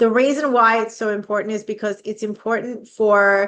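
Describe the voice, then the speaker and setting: This woman has an Australian accent. Her pitch is fairly high. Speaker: vocational training consultant. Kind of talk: educational podcast monologue. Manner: fast; casual, conversational.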